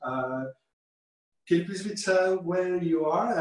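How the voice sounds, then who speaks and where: A man speaks with an Italian accent. His pitch is fairly high. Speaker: chef. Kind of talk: online cooking class. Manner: halting.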